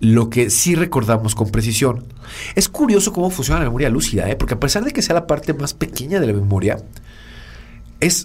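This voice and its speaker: Somewhat breathy and fairly high-pitched, a man talks at a fairly quick pace with very wide pitch swings. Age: 40s. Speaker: podcast co-host, communication consultant. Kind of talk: casual explanatory chat.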